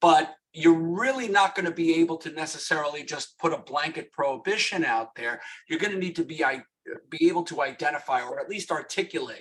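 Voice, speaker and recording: Fairly high male voice, fairly quick in pace, its pitch varying in an ordinary way. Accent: New York. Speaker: lawyer. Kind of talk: webinar presentation. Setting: webinar.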